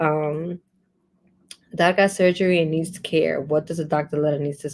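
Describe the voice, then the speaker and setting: A woman's very deep, low-pitched voice with monotone, flat intonation. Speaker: immigration advice livestream host. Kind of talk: live stream Q&A. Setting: livestream on social media. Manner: fast.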